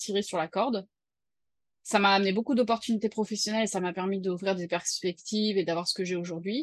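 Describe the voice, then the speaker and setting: Against a quiet background, a woman speaks very fast at a medium pitch with fairly even intonation. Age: 30s. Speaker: freelancer and mother. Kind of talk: personal testimony interview. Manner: hesitant, many fillers.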